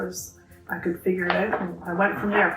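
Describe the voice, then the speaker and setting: Over background music, a woman with an Ontario accent talks at a fairly quick pace. The room echo is audible. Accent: Canadian (Ontario). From Ontario, Canada. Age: 60s. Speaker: knitting group co-founder. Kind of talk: interview.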